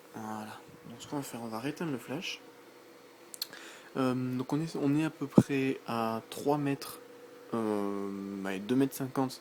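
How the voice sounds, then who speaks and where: The soft-spoken voice moves at a fairly slow pace with long, frequent pauses, big swings in loudness and ordinary pitch variation. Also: man, medium pitch for a man. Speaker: tech youtuber. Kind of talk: unboxing and product demo. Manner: hesitant, many fillers.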